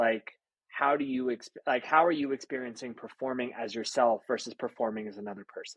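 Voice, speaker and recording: A man with an unremarkable speaking voice talks at a fairly quick pace with medium pitch and fairly even intonation, in a dry, close sound with no echo. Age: 30s. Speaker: rapper and podcast host. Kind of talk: podcast interview.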